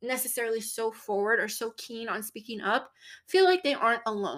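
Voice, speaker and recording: A woman with a fairly high voice speaks at a moderate pace in an animated tone, on a very clean recording with a silent background. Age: 20s. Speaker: podcast host. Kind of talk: casual solo monologue.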